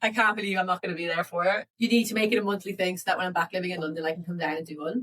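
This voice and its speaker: Very fast Irish-accented speech from a woman at medium pitch, with ordinary pitch variation and hardly any pauses. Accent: English with a picked-up Irish lilt. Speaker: travel podcast co-host. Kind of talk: casual chat. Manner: chatty, with many fillers.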